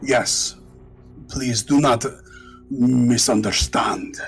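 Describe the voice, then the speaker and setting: Faint music plays in the background as a man in a put-on character voice speaks very slowly at a medium pitch. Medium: actual play. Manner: formal, measured.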